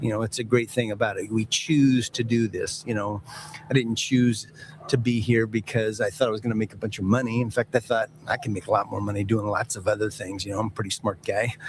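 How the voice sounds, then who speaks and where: Over noticeable background noise, a man talks at a fairly quick pace. His pitch is medium and his intonation fairly even. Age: 60s. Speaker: NFL team executive. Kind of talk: interview.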